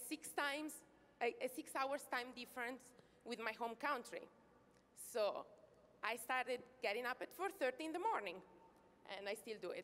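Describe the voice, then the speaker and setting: A high-pitched woman's voice in an Italian accent, broken by long, frequent pauses. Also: ordinary pitch variation, moderate pace. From Italy. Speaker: network marketing distributor. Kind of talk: stage testimony speech. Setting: stage with audience.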